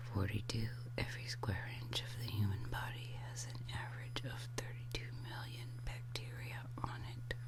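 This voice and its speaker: Whispering runs on with hardly any pauses over noticeable background noise. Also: woman. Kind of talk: ASMR trivia reading. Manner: whispered; soft-spoken, slow.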